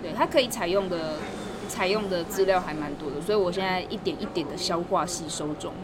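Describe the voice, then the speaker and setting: Speech at a fairly quick pace comes with audible room echo and noticeable background noise. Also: woman, medium pitch for a woman, ordinary pitch variation. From Taiwan, Taichung. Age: 20s. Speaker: graduate student and language teacher. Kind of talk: casual interview. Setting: outdoors.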